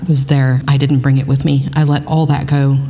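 Through noticeable background noise, a woman with an American accent talks fairly quickly in a very deep, low pitch. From South Texas (Kingsville). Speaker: volunteer youth mentor. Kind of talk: casual interview chat. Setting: on location at a venue.

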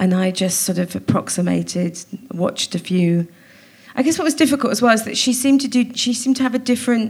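Speaking very fast with a South Wales accent, a woman uses a fairly high pitch, lively intonation and big swings in loudness over noticeable background noise. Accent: Welsh (south Wales). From Wales, Cardiff. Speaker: comedian and actor. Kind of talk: live comedy interview. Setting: stage with audience.

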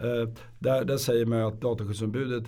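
A dark, mellow tone with fairly even intonation and audible room echo. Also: man. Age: 50s. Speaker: lawyer. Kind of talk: casual chat. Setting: studio.

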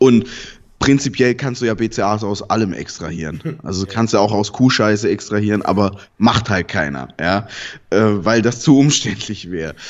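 A man has a normal speaking voice, fairly low in pitch, with ordinary pitch variation. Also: moderate pace. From southern Germany. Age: 30s. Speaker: fitness website founder. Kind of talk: casual interview.

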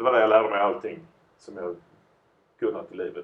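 A man at a moderate pace. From southern Sweden, Lund. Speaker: entertainer and entrepreneur. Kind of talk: casual chat. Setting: studio.

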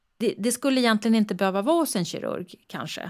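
A woman talks at a very fast pace with lively intonation in a very clean recording with a silent background. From Stockholm area, Sweden. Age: 60s. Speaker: breast cancer surgeon. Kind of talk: interview.

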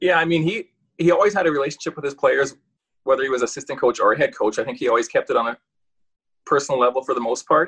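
In a Canadian prairie accent, the speaker goes at a very fast pace, the sound dry and close with no echo. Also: man. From rural Saskatchewan, Canada. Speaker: retired professional hockey player. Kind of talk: casual interview chat.

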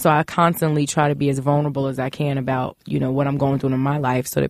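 A very fast voice in a New York accent, with a dry, close sound and no echo. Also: woman. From Brooklyn, New York (East New York). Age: 40s. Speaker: business executive. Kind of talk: casual interview.

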